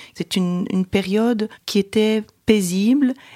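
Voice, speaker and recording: A woman talks at a very slow pace and a medium pitch, with ordinary pitch variation. The sound is dry and close, with no echo. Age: 50s. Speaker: mother of the host. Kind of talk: personal testimony. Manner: halting.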